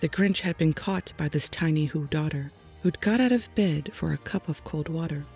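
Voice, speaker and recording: The speaker is soft-spoken, with a calm tone. Music plays in the background. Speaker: storyteller. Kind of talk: children's rhyming story read aloud. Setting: home studio microphone. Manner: soft-spoken, calm.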